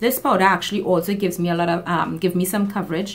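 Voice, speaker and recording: Music plays in the background as a woman talks with a Trinidadian accent. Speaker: beauty YouTuber. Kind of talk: makeup tutorial talk to camera.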